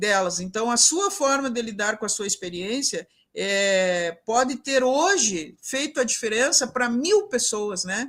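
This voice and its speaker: This woman's voice sits fairly high in pitch. It swings very widely up and down. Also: fairly slow pace, hardly any pauses. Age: 60s. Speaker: professor and event mediator. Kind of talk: closing remarks in a live online panel. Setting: live broadcast event.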